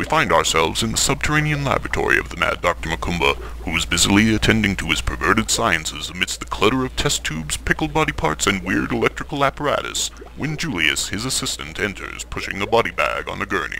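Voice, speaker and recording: A put-on character voice at a very fast pace, hardly any pauses, over clear background noise. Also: man, very deep, low pitch for a man. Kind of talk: 1940s radio announcer. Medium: audio drama. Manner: grandiose, ominous.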